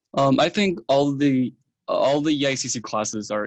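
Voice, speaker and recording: A man talks with a Chinese accent. The sound is dry and close, with no echo. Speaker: university student. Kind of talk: interview. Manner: hesitant, with filler ums.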